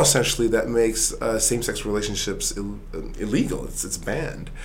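Against noticeable background noise and audible room echo, a man talks at a fairly quick pace. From Sweden. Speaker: author and business executive. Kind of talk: interview. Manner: halting, many repetitions and fillers.

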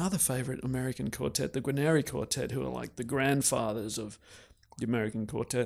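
On a very clean recording with a silent background, a man at a medium pitch speaks at a fairly quick pace with fairly even intonation. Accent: Australian. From Australia (Canberra). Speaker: professional violist. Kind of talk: interview conversation.

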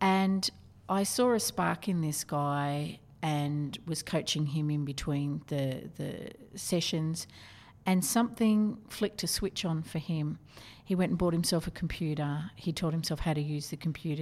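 With an Australian accent, a woman speaks at a moderate pace. Her pitch is very deep and low, with ordinary pitch variation. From Australia, Newcastle NSW. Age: 50s. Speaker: corporate trainer. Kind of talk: interview.

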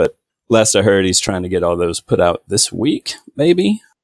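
The delivery moves at a fairly quick pace. The recording is very clean with a silent background, and the sound is dry and close with no echo. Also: man. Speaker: game graphics artist. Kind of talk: interview.

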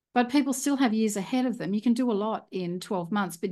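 The voice has a dark, mellow tone and ordinary pitch variation, with an Australian accent. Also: woman, quiet background. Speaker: property investor. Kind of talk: interview conversation. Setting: video call.

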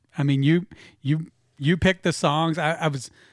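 An ordinary speaking voice from a man, fairly high in pitch, at a fairly slow pace with fairly even intonation, on a very clean recording with a silent background and a dry, close sound with no echo. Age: middle-aged. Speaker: musician and retired business owner. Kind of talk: casual interview chat. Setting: studio.

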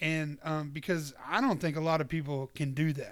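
Fairly even intonation runs through this voice with a Southern US accent. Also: man, very clean recording, silent background. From US South, Georgia. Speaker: podcast host. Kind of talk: show announcements monologue; casual interview chat.

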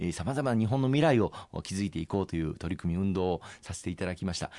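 A man speaks with a very deep, low pitch and a dark, mellow tone. His intonation is lively against a quiet background. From Osaka, Japan. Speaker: politician. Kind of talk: interview. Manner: formal.

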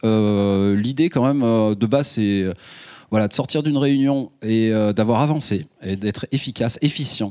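A man speaks at a medium pitch with a dark, mellow tone. His pace is fairly slow, and his pitch variation is ordinary. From Ardèche, southern France. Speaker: filmmaker and local councillor. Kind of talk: public panel debate.

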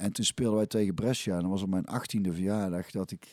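A man with an unremarkable speaking voice talks at a fairly quick pace and fairly low pitch. The recording is very clean with a silent background, dry and close, with no echo. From Belgian-Dutch border area, North Brabant region. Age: 40s. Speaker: former footballer and musician. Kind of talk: casual interview.

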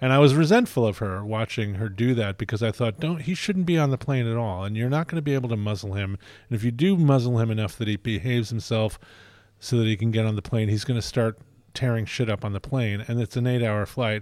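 In a very clean recording with a silent background, a man with an American accent talks at a very fast pace, his medium pitch carrying ordinary variation. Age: 60s. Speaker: film critic. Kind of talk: casual film discussion. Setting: at a film festival in Venice.

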